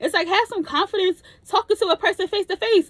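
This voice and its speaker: A woman speaks loudly. Her tone is animated. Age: 30s. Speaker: vlogger. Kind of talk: casual chat.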